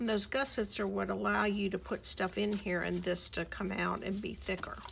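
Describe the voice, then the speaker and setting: A woman speaks at a moderate pace. Noticeable background noise runs beneath her. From US South, Miami, Florida. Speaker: crafting YouTuber. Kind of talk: tutorial.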